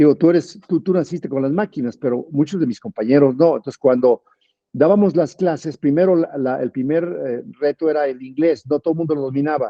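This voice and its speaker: A man with a fairly high pitch uses a normal speaking voice, talking fairly quickly with ordinary pitch variation. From Mexico. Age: 60s. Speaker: politician and physician. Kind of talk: interview.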